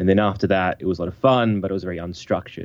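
The voice carries an Australian accent. Its pitch variation is ordinary. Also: man. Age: 30s. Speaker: podcaster. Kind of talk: casual chat. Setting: phone call.

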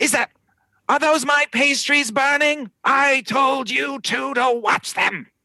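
A raspy put-on character voice from a man, extremely high in pitch, at a fairly slow pace. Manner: annoyed, scolding.

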